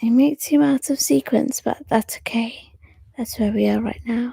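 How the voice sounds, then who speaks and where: Soft-spoken words come at a fairly slow pace. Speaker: poet and storyteller. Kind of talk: casual chat. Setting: at home.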